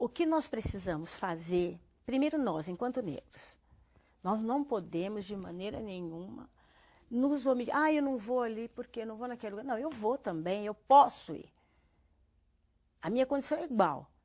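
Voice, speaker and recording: At a moderate pace broken by long, frequent pauses, a woman with a fairly high pitch makes very wide pitch swings, on a very clean recording with a silent background. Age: 60s. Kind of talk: TV interview.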